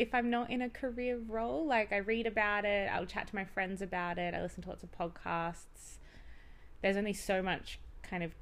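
A woman talks at a fairly quick pace in a medium pitch, with ordinary pitch variation. Hers is an unremarkable speaking voice. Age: 20s. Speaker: podcast co-host. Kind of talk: casual chat.

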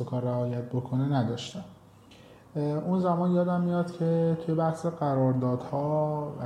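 A man talks at a fairly slow pace with fairly even intonation. There is audible room echo. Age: 20s. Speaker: startup founder and CEO. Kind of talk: interview.

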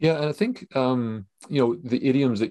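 Over a quiet background, a man with a Canadian accent speaks at a fairly quick pace in a dark, mellow tone. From Canada. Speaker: podcast host. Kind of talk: casual chat.

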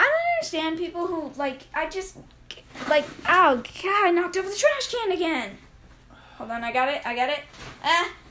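In an American accent, a woman speaks in a raised, projected voice with extremely high pitch and lively intonation, keeping a moderate pace broken by long, frequent pauses, and audible echo fills the room. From Arizona. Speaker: podcast co-host. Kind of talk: casual chat. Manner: halting, many fillers.

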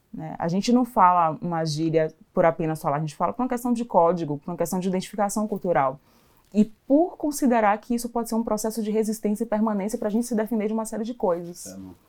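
A woman rushes along at a very fast pace with lively intonation. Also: medium pitch for a woman. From Brazil, Salvador, Bahia. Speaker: social entrepreneur. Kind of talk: casual chat.

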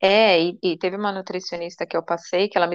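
This is a woman with an ordinary speaking voice. She talks at a fairly quick pace and a medium pitch. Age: 30s. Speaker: financial consultant. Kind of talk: casual chat.

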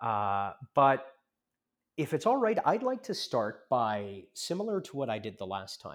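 On a very clean recording with a silent background, a man with an American accent and medium pitch speaks at a fairly slow pace with very wide pitch swings. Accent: American-sounding. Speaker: lawyer and discussion host. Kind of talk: discussion. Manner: formal.

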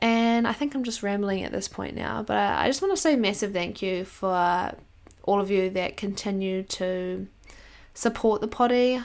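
Medium-pitched woman with an Australian accent, moderate pace and ordinary pitch variation, on a very clean recording with a silent background. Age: 20s. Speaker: podcast host. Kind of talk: solo life update monologue.

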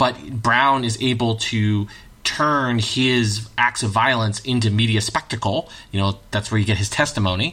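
At a moderate pace and very even loudness, a man with an ordinary speaking voice talks at medium pitch with ordinary pitch variation. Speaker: high school social studies teacher. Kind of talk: academic discussion.

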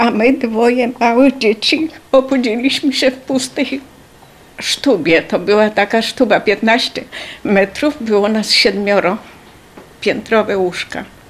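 A woman speaks at a very slow pace with a fairly high pitch. Her loudness stays very even. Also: ordinary pitch variation. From Poland. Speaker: wartime deportation survivor. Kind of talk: testimony.

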